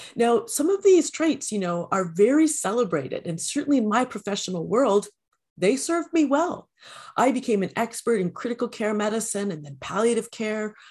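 In a Canadian accent, a woman talks at a moderate pace against a quiet background. Her fairly high pitch swings very widely. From Canada. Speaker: empowerment coach. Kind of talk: interview.

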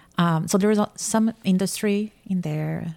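A woman's fairly low, dark, mellow voice with a Portuguese accent, fairly even intonation and a fairly slow pace, dry and close with no echo. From Brazil, Campinas (São Paulo state). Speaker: artist and painting instructor. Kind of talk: casual interview. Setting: artist's studio.

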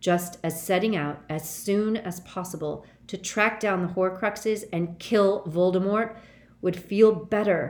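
A natural voice reading aloud

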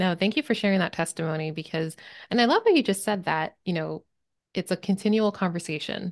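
A woman with a plain, everyday voice talks at a fairly quick pace and medium pitch with ordinary pitch variation, the sound dry and close with no echo against a quiet background. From Maryland, US. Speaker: podcast host and prophetic listening teacher. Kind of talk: casual interview chat. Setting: call.

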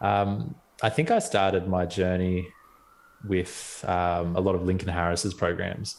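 A man with an Australian accent and a very deep, low pitch, in a very clean recording with a silent background. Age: 30s. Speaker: dentist. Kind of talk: casual interview chat.

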